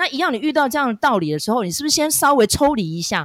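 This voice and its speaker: Speaking very fast with a Taiwanese accent, a woman swings her pitch very widely on a very clean recording with a silent background. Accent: Taiwanese Mandarin. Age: middle-aged. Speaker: podcast host. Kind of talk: casual drama review chat. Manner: chatty, heavy use of filler particles.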